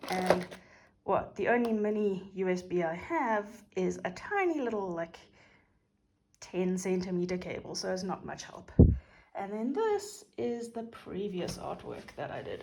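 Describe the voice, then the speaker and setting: With audible room echo, a woman in a South African accent talks at a moderate pace in a medium pitch, her pitch varying in an ordinary way. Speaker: craft YouTuber. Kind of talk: casual craft tutorial and unboxing. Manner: relaxed, chatty with fillers.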